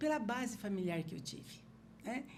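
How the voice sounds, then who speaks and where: Swinging very widely in pitch, a woman talks with vocal fry amid audible room echo. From Paraná, Brazil (Porecatu, then Curitiba). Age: 60s. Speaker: political party leader and hotel CEO. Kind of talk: podcast interview.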